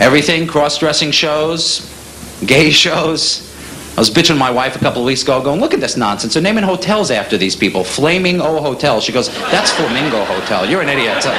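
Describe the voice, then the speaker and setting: A man speaks at a fairly quick pace with lively intonation, fairly high pitch, and a New York accent. Noticeable background noise and audible room echo are present. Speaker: stand-up comedian. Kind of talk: stand-up. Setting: stage with audience.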